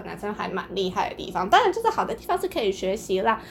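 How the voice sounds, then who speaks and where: Noticeable background noise fills the clip. The speaker is a woman. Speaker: podcast host. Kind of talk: casual chat.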